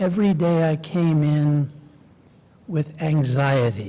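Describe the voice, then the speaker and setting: With an American accent, a man speaks at a fairly high pitch in a dark, mellow tone. His voice is somewhat breathy with ordinary pitch variation. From New York City, Queens. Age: 80s+. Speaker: lawyer. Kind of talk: interview conversation.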